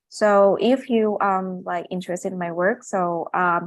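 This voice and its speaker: A woman talks with a non-native accent and ordinary pitch variation. The background is quiet. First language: not English. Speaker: neurosurgeon and medical illustrator. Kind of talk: webinar presentation. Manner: halting, many fillers.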